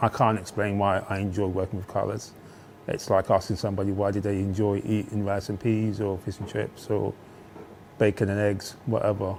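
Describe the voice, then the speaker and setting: A man's fairly low-pitched voice, monotone and flat, at a fairly quick pace. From Birmingham (Aston) and East London, England. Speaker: master screenprinter. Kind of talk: interview. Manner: halting.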